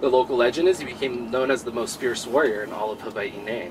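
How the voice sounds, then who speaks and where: Speech at a fairly quick pace is heard with noticeable background noise. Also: man. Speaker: tour guide. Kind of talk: guided tour history talk. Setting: outdoors. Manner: soothing.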